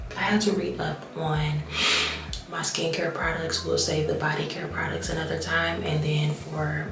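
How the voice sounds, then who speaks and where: A woman whispers amid noticeable background noise and audible room echo. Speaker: lifestyle vlogger. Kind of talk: casual vlog talk. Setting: at home. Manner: whispering; hesitant, many fillers.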